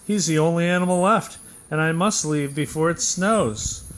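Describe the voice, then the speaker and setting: Using a put-on character voice, a man speaks high for a man at a moderate pace, with very even loudness and ordinary pitch variation. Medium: read story. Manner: eager salesman pitch.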